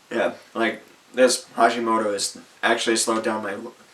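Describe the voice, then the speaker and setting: A man at a medium pitch and a fairly quick pace, with noticeable background noise. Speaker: vlogger. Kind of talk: autobiographical vlog. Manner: halting, with repetitions; partly reading from phone.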